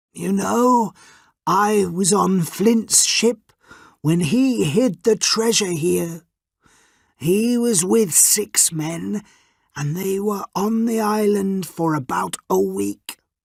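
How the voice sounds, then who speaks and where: A put-on character voice, female-sounding, at a middle pitch and a very slow pace. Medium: read story.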